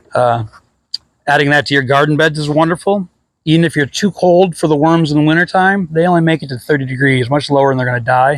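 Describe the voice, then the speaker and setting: A man speaks at a fairly high pitch with ordinary pitch variation. His pace is very fast. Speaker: worm composting grower. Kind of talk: tutorial. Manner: casual, rambling.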